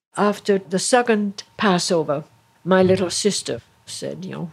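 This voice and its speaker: There is noticeable background noise. Through it, a woman talks in a fairly low voice. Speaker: Holocaust survivor. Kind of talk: testimony.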